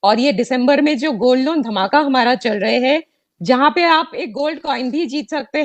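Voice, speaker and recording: Lively intonation marks this speaker's delivery, which carries a non-native accent. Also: woman. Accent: non-native Hindi. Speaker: bank executive. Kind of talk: formal address at online launch event. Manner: hesitant, many fillers.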